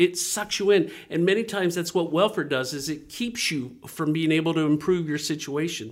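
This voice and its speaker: A man speaks at a high pitch and a moderate pace, with ordinary pitch variation and hardly any pauses. The recording is very clean, with a silent background. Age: 50s. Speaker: nonprofit ministry director. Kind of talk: interview.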